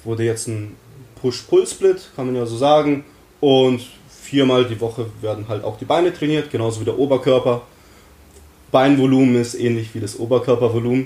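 Long, frequent pauses break up this man's speech. His tone is dark and mellow, with fairly even intonation. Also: medium pitch for a man, moderate pace. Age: 20s. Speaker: student and calisthenics athlete. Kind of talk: casual chat.

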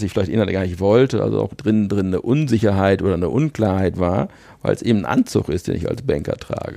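Against a quiet background, a man with a fairly low pitch and a dark, mellow tone talks at a very fast pace. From Münsterland, north-western Germany. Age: 50s. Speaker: business coach. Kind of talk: podcast interview.

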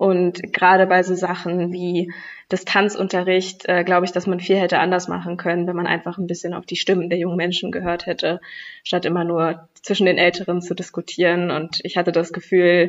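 Speaking at a fairly quick clip, a woman keeps a fairly low pitch and a monotone, flat intonation. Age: young. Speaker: youth environmental activist. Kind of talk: podcast debate.

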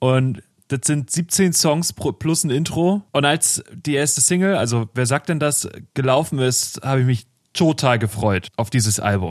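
Dry and close with no echo, the voice moves at a fairly slow pace with lively intonation and very even loudness. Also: man, medium pitch for a man. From northern Germany. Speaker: music podcast co-host. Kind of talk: casual chat. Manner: halting, many fillers.

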